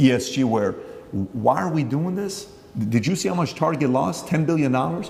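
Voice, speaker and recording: A man with an American accent, fairly high in pitch, with lively intonation at a fairly quick pace, amid audible room echo and noticeable background noise. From Glendale, California. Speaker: interviewer, businessman. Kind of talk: interview.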